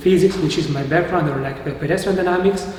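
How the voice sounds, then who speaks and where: A voice with an Italian-Swiss accent shows ordinary pitch variation. Noticeable background noise and audible room echo fill the recording. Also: man. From Italian-speaking Switzerland. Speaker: university researcher. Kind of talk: lecture. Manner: hesitant, many fillers.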